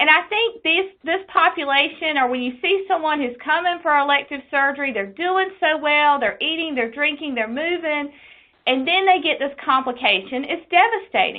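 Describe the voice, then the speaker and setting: A woman's high-pitched voice with an Eastern North Carolina accent and lively intonation. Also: moderate pace. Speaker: quality nurse specialist. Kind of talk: webinar presentation.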